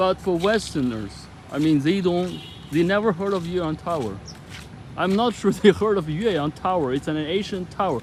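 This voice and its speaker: Ordinary pitch variation at a moderate pace, with music in the background. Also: man, high pitch for a man. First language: Chinese. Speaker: vlogger. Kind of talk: casual chat. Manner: halting.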